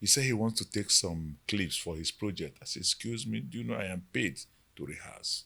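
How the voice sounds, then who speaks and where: Here a man talks at a moderate pace with a very deep, low pitch. His voice shows vocal fry and very wide pitch swings. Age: 60s. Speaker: veteran actor. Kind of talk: interview. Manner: halting.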